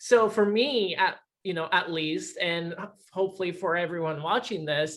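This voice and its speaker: A woman with an unremarkable speaking voice talks at a moderate pace, fairly low in pitch with ordinary pitch variation. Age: 20s. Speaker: interview podcast host. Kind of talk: casual interview.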